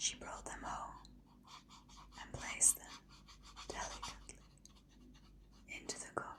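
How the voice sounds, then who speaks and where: Whispering in a soothing tone at a fairly slow pace, a woman takes long, frequent pauses while her loudness swings widely. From Britain. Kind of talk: bedtime story narration. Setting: ASMR video. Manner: whispered, soothing.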